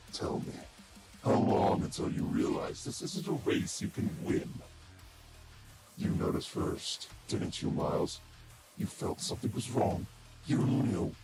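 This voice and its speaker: A man puts on a raspy character voice with a calm, sinister tone, speaking at a fairly slow pace with long, frequent pauses. Loud background noise sits behind him. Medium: voice reel. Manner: taunting, calm, sinister.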